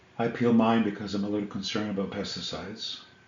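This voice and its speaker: Noticeable background noise sits behind a man whose fairly low voice stays monotone and flat. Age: 60s. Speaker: health vlogger. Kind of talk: casual educational talk to camera.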